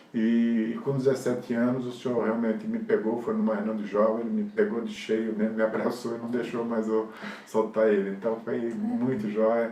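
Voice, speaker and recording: Man speaking at a moderate pace with hardly any pauses, flat and monotone, amid noticeable background noise and audible room echo. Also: medium pitch for a man. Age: 60s. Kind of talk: interview testimony. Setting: recorded interview with helpers present. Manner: casual, rambling with fillers.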